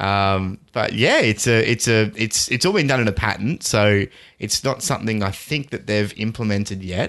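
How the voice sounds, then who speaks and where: A man's plain, everyday voice at a medium pitch and a fairly quick pace. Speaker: tech podcast co-host. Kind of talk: casual chat. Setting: remote call.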